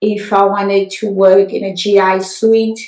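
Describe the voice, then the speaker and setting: The woman's pitch sits at a medium level, and her intonation stays fairly even. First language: French. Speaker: nurse practitioner. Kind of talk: interview.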